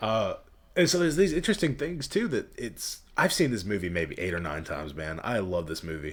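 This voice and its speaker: With a Southern US accent and a fairly low pitch, a man talks at a fairly quick pace through very wide pitch swings. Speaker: podcast host. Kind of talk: casual chat.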